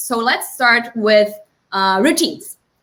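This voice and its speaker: Using a raised, projected voice, a woman speaks at a moderate pace in a Portuguese accent. Her tone is bright and sharp. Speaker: time-management consultant. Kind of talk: tutorial.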